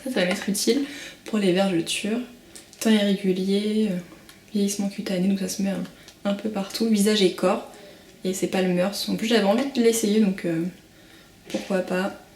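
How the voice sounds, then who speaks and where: A woman of medium pitch talks with fairly even intonation and long, frequent pauses over noticeable background noise. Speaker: beauty and parenting vlogger. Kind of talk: product unboxing vlog. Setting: at home. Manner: fast; hesitant, many fillers.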